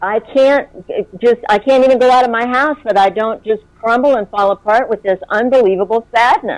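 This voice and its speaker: A woman with an unremarkable speaking voice, fairly high in pitch with ordinary pitch variation, at a moderate pace, in a dry, close sound with no echo. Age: 60s. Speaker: regression client and experiencer. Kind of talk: interview.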